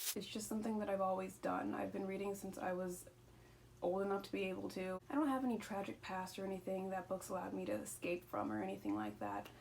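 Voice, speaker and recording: Noticeable background noise can be heard throughout. Over it, a woman speaks very fast. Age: 20s. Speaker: booktuber. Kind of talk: casual vlog monologue. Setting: at home. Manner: rambling with stumbles.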